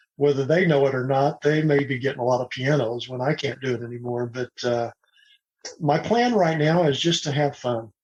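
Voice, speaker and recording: This man has a fairly high pitch and a somewhat breathy voice with an American accent. His pace is moderate and his pitch varies an ordinary amount. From Oklahoma. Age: 60s. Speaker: retired pilot and piano upcycler. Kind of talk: podcast interview.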